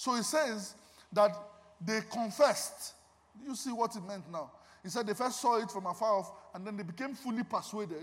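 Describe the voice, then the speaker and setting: At a moderate pace, a man speaks in an animated tone at a high pitch. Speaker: guest preacher and music minister. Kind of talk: sermon. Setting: church with congregation.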